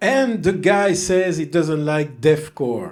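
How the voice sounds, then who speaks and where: With a French accent, a man speaks with ordinary pitch variation. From French-speaking southern Belgium. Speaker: music reviewer. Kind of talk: casual album review monologue. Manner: hesitant, many fillers.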